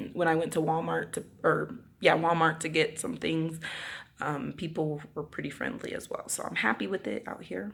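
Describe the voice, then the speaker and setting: A woman speaks at a moderate pace with vocal fry and a very deep, low pitch. Her intonation is lively. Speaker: vlogger. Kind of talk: casual vlog talk. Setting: empty apartment. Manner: loud; animated.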